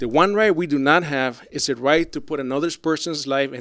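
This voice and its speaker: A man with a Puerto Rican accent and a fairly high pitch. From Puerto Rico. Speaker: rant commentator. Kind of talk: rant. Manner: animated.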